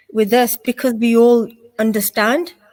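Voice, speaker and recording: A woman with a British accent and a fairly high pitch speaks at a moderate pace with fairly even intonation. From England. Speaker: charity support worker. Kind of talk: casual interview.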